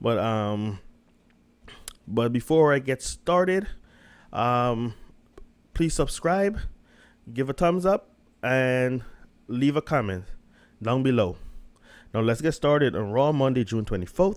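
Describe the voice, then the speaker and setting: Pausing long and often, a man speaks at a very slow pace on a very clean recording with a silent background. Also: medium pitch for a man, lively intonation. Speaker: wrestling reviewer. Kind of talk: show review. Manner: halting, many fillers.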